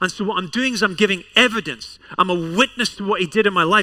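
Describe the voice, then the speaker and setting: In a Scottish accent, a man speaks with a raised, projected voice at a fairly quick pace. His pitch is high, with ordinary variation. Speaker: pastor. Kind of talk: sermon. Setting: church service with congregation.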